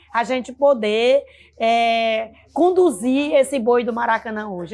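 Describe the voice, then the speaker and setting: A woman with an unremarkable speaking voice talks at a fairly high pitch with ordinary pitch variation. The recording is very clean, with a silent background. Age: 60s. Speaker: leader of a folk music group. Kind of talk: interview testimony.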